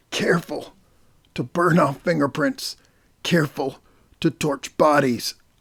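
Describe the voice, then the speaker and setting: A man's raspy, put-on character voice, fairly high in pitch and fairly slow, with fairly even intonation, long, frequent pauses and a dry, close sound with no echo. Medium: read story. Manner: halting, gasping.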